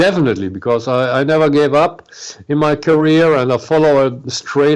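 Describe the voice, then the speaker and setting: A man with a German accent at a moderate pace, amid noticeable background noise. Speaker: heavy metal singer. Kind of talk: interview. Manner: halting.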